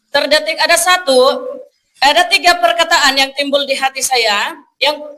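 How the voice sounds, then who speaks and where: The voice is raised and projected, moving at a fairly slow pace. Its pitch variation is ordinary. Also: woman. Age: 20s. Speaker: evangelist. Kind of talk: testimony. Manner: halting.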